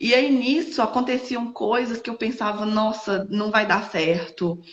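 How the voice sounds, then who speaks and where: The speech moves at a fairly slow pace with ordinary pitch variation, over noticeable background noise. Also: woman, fairly high pitch for a woman. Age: 20s. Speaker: entrepreneur and widowed mother. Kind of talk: interview testimony. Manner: halting, many fillers.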